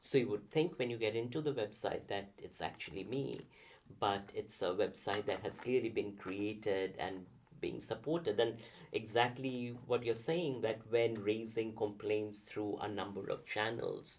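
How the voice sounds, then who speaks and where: Speaking with a Bengali accent, a man keeps a moderate pace. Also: medium pitch for a man, ordinary pitch variation. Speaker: professor. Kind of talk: interview conversation. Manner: halting, many fillers.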